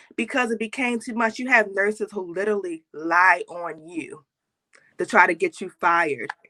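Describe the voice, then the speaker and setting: With an American accent, a woman speaks at a moderate pace and medium pitch. She has an ordinary speaking voice, and the sound is dry and close with no echo. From Baltimore, US. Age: 30s. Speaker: nurse and motivational speaker. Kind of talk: interview.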